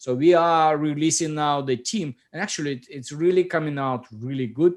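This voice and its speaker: A man speaks at a moderate pace in a fairly high pitch with ordinary pitch variation. His loudness swings widely against a quiet background. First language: Russian. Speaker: software company founder. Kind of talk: casual chat.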